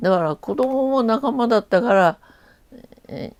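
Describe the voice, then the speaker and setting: A woman's dark, mellow voice with very wide pitch swings, in a dry, close sound with no echo. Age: 80s+. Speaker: retired teacher. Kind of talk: interview answer.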